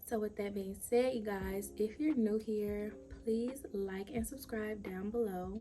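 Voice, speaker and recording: Music plays behind a woman speaking at a fairly slow pace. Her pitch is fairly high and her intonation fairly even. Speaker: lifestyle vlogger. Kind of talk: casual product review vlog. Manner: soft-spoken.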